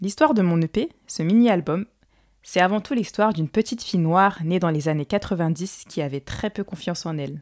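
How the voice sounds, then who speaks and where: A woman with an unremarkable speaking voice, medium pitch and lively intonation, at a moderate pace, in a dry, close sound with no echo on a very clean recording with a silent background. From Paris suburbs, France. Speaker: podcast host and singer. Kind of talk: solo monologue.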